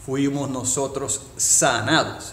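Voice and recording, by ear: A man speaks at a medium pitch, with audible room echo.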